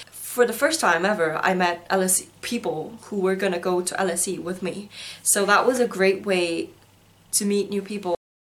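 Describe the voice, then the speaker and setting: A woman's medium-pitched voice with a Korean accent, at a moderate pace with ordinary pitch variation. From South Korea, schooled in Singapore. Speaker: university student vlogger. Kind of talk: video diary.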